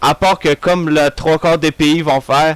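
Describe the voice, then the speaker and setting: A man with a Quebec accent speaks at a very slow pace. His voice is fairly high in pitch, and the sound is dry and close with no echo. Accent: Québécois French. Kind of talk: casual, comedic.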